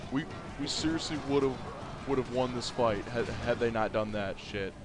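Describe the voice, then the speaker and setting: A man at medium pitch and moderate pace, ordinary pitch variation, with noticeable background noise. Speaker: gaming YouTuber. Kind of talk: angry rant while gaming. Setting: gameplay commentary recorded at computer. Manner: animated, laughs often, sarcastic commentary.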